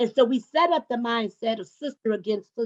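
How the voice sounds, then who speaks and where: This woman has an unremarkable speaking voice, fairly high in pitch, at a moderate pace with ordinary pitch variation. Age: 60s. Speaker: panelist. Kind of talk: panel discussion.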